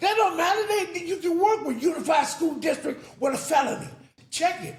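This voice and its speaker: A man talks at a fairly quick pace with an extremely high pitch. His pitch variation is ordinary, and audible room echo surrounds the voice. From South Central Los Angeles. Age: 70s. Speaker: former addict telling his life story. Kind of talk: interview, casual chat. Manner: fast; insistent.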